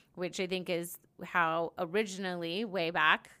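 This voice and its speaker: A woman with an American accent speaks at a fairly low pitch in a bright, sharp tone with vocal fry. Her intonation stays fairly even. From US West (Oregon, Colorado). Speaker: spirituality podcast co-host. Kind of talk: casual chat.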